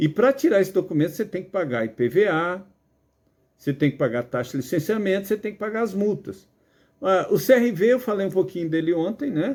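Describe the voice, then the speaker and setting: His pitch is high for a man, and this man's voice moves through very wide pitch swings. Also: fairly quick pace. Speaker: driving instructor. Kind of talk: lecture. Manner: casual, filler-heavy.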